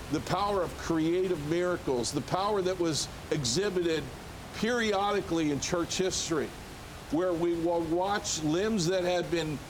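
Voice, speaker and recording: With an American accent, a man speaks in a high voice at a moderate pace, his loudness very even and his pitch varying in an ordinary way, over audible room echo and noticeable background noise. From United States. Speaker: ministry leader and former Olympic athlete. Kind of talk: TV interview testimony.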